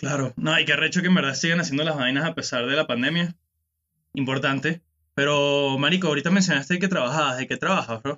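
Someone with a Venezuelan accent talks at a very fast pace. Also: man, fairly high pitch for a man, fairly even intonation. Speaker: podcast host. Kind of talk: casual chat.

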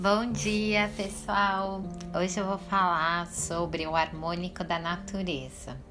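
A woman with a bright, sharp tone and fairly low pitch speaks very slowly in a monotone, flat intonation, with audible room echo. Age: 40s. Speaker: holistic therapist. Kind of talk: spiritual podcast monologue. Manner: casual, informal.

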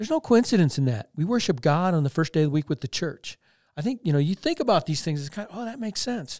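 On a very clean recording with a silent background, a man with an American accent talks at a very fast pace, his high pitch making very wide swings. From Colorado, US. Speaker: minister and bee-keeping YouTuber. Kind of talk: casual interview chat about faith. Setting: podcast recording. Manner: fast talker.

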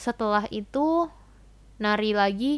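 A woman talks in a fairly high voice with ordinary pitch variation. The recording is very clean, and the background is silent. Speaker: university student abroad. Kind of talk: casual chat. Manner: fast; laughing.

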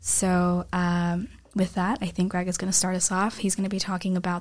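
With an American accent, a woman speaks at a fairly quick pace in an unremarkable speaking voice of medium pitch. The recording is very clean, with a silent background. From United States. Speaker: podcast host, student. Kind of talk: casual discussion. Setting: studio.

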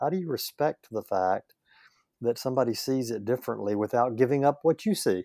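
With a Southern US accent, a man speaks at a fairly quick pace in a dark, mellow tone, with a dry, close sound with no echo on a very clean recording with a silent background. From US South, northeast Louisiana. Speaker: leadership coach and church consultant. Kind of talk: casual interview.

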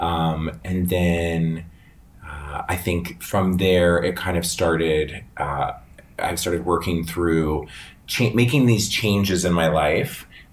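With an American accent, a man talks very slowly in a very deep, low voice, and audible room echo surrounds him. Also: ordinary pitch variation. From Northern Virginia, US. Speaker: hairstylist and salon owner. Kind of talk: casual interview.

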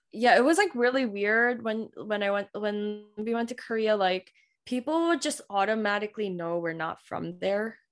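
A normal speaking voice from a woman, fairly high in pitch, with lively intonation and a moderate pace. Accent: American. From Queens, New York. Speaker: medical resident. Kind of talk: casual interview chat.

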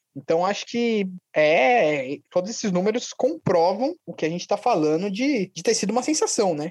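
A man talks at a moderate pace in a high voice, hardly pausing at all. His pitch swings very widely, and the sound is dry and close with no echo. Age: 20s. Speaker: podcast co-host, historian. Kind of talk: casual sports podcast chat.

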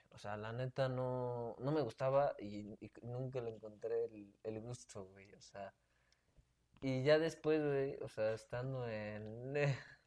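Speaking at a very slow pace, a man keeps a medium pitch and fairly even intonation in a dark, mellow tone. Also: big swings in loudness. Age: 20s. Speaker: law student. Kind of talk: casual chat.

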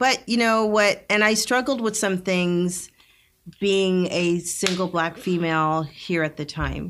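A woman with an unremarkable speaking voice talks at a fairly slow pace. Her medium pitch shows ordinary pitch variation. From Canada, Northern Alberta, Jamaican family. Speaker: nurse and nonprofit co-founder. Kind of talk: interview conversation.

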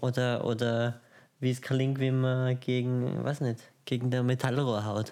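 A man mumbles at a fairly slow pace in a dark, mellow tone of medium pitch, his intonation monotone and flat and his loudness very even. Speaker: podcast co-host. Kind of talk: casual chat. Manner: mumbling.

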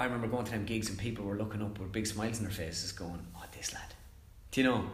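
In an Irish accent, a man speaks at a fairly low pitch, with noticeable background noise and audible room echo. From Ireland. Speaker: comedian and impressionist. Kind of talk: casual interview chat. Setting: studio, several people around one mic.

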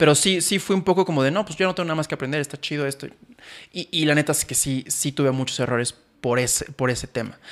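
At a very fast pace, a man speaks with a fairly high pitch and ordinary pitch variation on a very clean recording with a silent background. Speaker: podcast co-host and photographer/filmmaker. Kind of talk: casual chat. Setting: studio with cameras.

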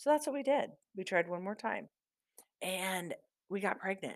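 A woman with a Midwestern American accent and very wide pitch swings, in a very clean recording with a silent background. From US Midwest, southeast Iowa. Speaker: podcast host. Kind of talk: casual monologue.

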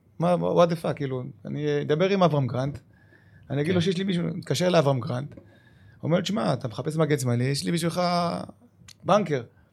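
Speaking at a very fast pace, a man uses a fairly high pitch and lively intonation, his voice somewhat breathy. He leaves long, frequent pauses. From Israel, Lod. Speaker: retired footballer and club manager. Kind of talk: casual interview.

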